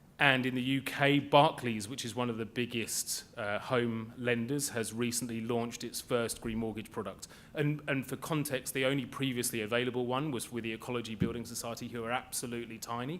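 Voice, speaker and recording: A man in a British accent talks at a fairly quick pace with fairly even intonation. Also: medium pitch for a man, hardly any pauses. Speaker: panelist on green finance. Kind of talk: conference panel talk. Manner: halting.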